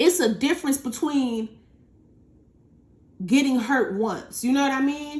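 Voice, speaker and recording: A loud, animated woman's voice at a high pitch. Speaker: tarot reader. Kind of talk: tarot reading.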